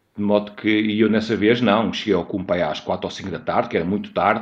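A man with fairly low pitch. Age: 50s. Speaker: mountaineer. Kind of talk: interview. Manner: halting.

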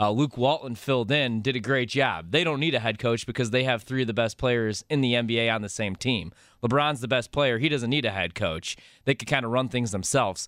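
Speaking at a fairly quick pace, a man with an American accent has a normal speaking voice at a medium pitch with ordinary pitch variation. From Chicago area, US Midwest. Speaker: radio producer. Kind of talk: casual chat.

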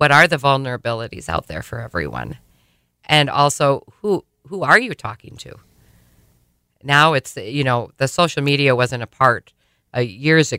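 The speaker has an Upper Midwest accent and a bright, sharp tone, moving at a moderate pace with ordinary pitch variation and long, frequent pauses. Loudness swings widely, and the sound is dry and close with no echo. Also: woman. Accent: Upper Midwest American. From South Dakota, Sioux Falls. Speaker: trafficking survivor and program coordinator. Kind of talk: testimony. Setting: radio studio.

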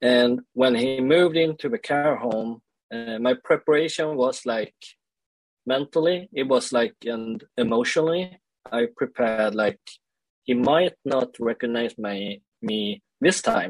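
A man with a Swedish accent at a medium pitch and fairly slow pace, with ordinary pitch variation in a dry, close sound with no echo. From Sweden (born in South Korea). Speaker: leadership coach and speaker. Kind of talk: interview conversation. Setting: remote call. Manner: halting.

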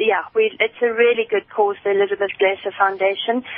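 A woman speaks over noticeable background noise. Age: 40s. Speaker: doctor and charity cyclist. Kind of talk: phone interview. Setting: phone call.

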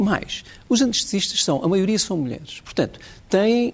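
A man talks at a fairly quick pace in a high voice that swings very widely in pitch. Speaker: doctor and union leader. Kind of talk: televised panel debate.

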